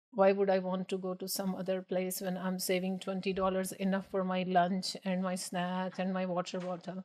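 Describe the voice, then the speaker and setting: At a moderate pace and medium pitch, a woman talks in a flat monotone with hardly any pauses. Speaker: business owner. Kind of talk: podcast interview.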